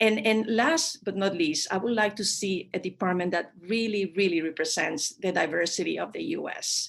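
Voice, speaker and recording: At a moderate pace, a woman talks at a medium pitch with lively intonation. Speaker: diplomat. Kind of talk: panel discussion. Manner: halting with many fillers.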